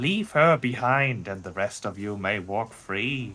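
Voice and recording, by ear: A man puts on a character voice, pitched fairly low. He speaks at a fairly slow pace.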